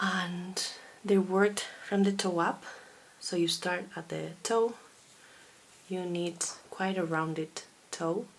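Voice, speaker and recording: A woman's medium-pitched, monotone voice with a Basque accent, very slow, with long, frequent pauses. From Basque Country, Spain. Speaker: knitting podcaster and designer. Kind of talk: casual video podcast monologue.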